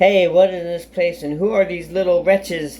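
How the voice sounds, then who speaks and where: This is a put-on character voice delivered at a moderate pace. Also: man, high pitch for a man. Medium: read story.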